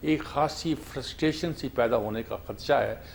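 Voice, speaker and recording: Speaking with ordinary pitch variation, a man has an unremarkable speaking voice. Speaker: TV talk show host. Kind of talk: TV political talk show.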